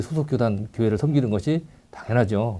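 Using lively intonation and a dark, mellow tone, a man speaks at a fairly quick pace. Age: 60s. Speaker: retired air force NCO, church elder. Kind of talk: casual chat.

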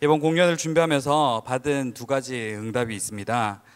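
A plain, everyday voice from a man, fairly high in pitch, at a fairly slow pace on a very clean recording with a silent background. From Daegu, South Korea. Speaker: concert emcee. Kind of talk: event emceeing. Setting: stage with audience.

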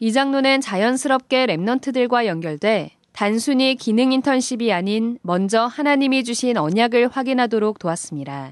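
A woman with an unremarkable speaking voice and a fairly high pitch talks at a moderate pace with very even loudness and hardly any pauses, against a quiet background. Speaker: news anchor. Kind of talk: news reading. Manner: formal.

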